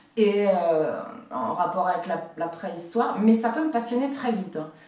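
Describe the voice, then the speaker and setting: Noticeable background noise and audible room echo surround a woman speaking at a fairly slow pace with lively intonation. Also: medium pitch for a woman. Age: 40s. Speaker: vlogger. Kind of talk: personal vlog. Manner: halting, many hesitations.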